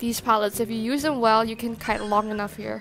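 Music plays in the background. A woman speaks at a fairly high pitch. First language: not English. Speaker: gaming YouTuber. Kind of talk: gameplay commentary.

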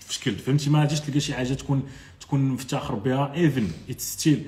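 Fairly high in pitch, a man speaks at a fairly quick pace with a monotone, flat intonation. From Morocco, Marrakech; Morocco. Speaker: e-commerce entrepreneur and web developer; content creator. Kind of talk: live stream chat with viewers. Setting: Instagram live. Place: home room. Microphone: phone near.

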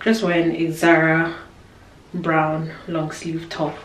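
Background noise is noticeable as a woman speaks at a very slow pace. Her pitch is fairly low. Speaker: vlogger. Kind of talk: casual vlog chat. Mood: relaxed, chatty. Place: home room. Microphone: phone near.

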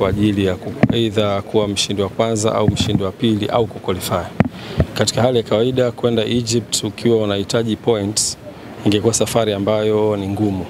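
A man talks at a moderate pace, the sound dry with no echo, while loud background noise runs underneath. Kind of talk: press interview answer. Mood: calm, serious. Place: street. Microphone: handheld.

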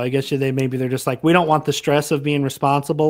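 A plain, everyday voice from a man with fairly high pitch, a fairly quick pace and fairly even intonation, on a very clean recording with a silent background. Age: 20s. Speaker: youtuber, podcast co-host. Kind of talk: casual chat.

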